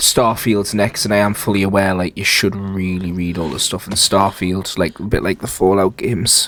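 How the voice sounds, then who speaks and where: A man speaks quietly at a fairly low pitch. His delivery is monotone and flat at a moderate pace. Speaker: gaming YouTuber. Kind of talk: let's play commentary. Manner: quiet, lowered voice; casual, rambling.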